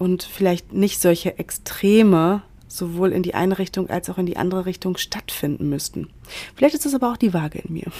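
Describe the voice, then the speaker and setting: A woman with a dark, mellow tone talks fairly quickly at a medium pitch, with ordinary pitch variation. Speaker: podcast host, self-development coach. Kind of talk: solo podcast monologue. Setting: hotel room in quarantine.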